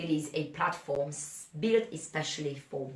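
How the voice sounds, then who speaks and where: Over noticeable background noise and audible room echo, a woman with a very deep, low pitch speaks with lively intonation. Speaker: fitness coach and podcaster. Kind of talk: podcast monologue. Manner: casual, chatty.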